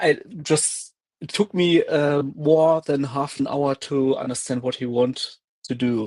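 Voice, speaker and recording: With a German accent, a man speaks very slowly at a fairly high pitch with ordinary pitch variation. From Germany. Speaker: science debunking stream co-host. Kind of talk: casual live stream discussion. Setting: live stream video call, screen sharing.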